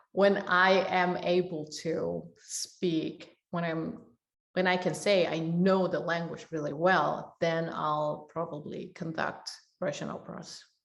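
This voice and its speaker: A woman's fairly low voice with a Korean accent, flat and monotone, at a very slow pace. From South Korea. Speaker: orchestra and opera conductor. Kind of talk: interview. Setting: online video event.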